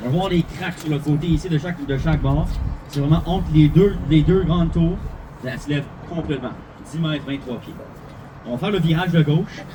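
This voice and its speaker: Speaking at a very fast pace yet with long, frequent pauses, a man with a fairly high pitch is heard over noticeable background noise. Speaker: bilingual bus tour guide. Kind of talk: live guided tour commentary. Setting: tour bus. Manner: animated.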